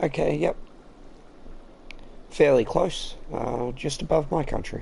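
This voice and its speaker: Very slow and with vocal fry, a man with an Australian accent speaks in a dark, mellow tone and ordinary pitch variation. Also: medium pitch for a man. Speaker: game streamer. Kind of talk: live gameplay commentary. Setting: live stream. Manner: casual, thinking aloud.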